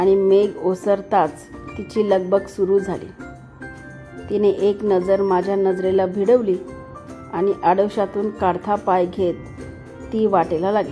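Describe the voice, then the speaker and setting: Music plays in the background. A woman at medium pitch speaks in a flat monotone. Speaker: voice actor. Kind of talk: romantic first-person story reading. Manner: emotive.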